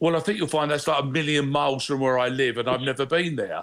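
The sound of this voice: Speaking at a fast pace, a man has a medium pitch, a fairly bright tone and ordinary pitch variation.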